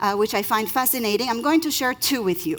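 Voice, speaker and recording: A woman's fairly high voice in an Israeli accent. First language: Hebrew. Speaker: lawyer. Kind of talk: conference talk.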